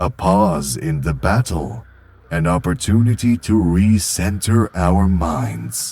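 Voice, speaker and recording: Using a put-on character voice, a man speaks at a very deep, low pitch and a fairly slow pace. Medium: fan dub. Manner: calm, serene.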